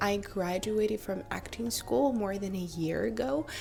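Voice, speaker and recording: Over noticeable background noise, a woman talks at a medium pitch with ordinary variation. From Russia. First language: Russian. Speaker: vlogger, actress. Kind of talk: casual storytelling vlog.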